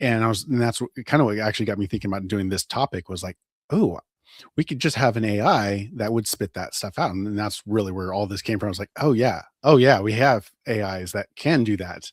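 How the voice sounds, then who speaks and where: Dry, close sound with no echo, a very clean recording over total silence, ordinary pitch variation and a fairly quick pace. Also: man, fairly low pitch for a man. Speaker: podcast co-host. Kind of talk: casual podcast conversation. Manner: fast.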